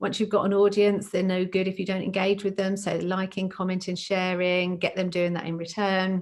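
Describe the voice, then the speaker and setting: The voice runs in a monotone, flat intonation with hardly any pauses. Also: woman, medium pitch for a woman. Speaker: recruitment company presenter. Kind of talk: webinar presentation. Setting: online webinar. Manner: fast.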